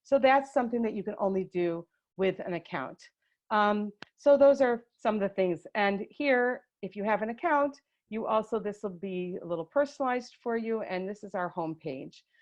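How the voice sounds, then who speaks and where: Here is a woman with a plain, everyday voice, pitched fairly high. She talks at a moderate pace with lively intonation. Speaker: education staff presenting a webinar. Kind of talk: tutorial. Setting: video call webinar.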